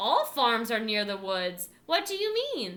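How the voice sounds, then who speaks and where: Someone uses a put-on character voice with very wide pitch swings, moving at a fairly slow pace. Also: woman, fairly high pitch for a woman. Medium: read story. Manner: commanding.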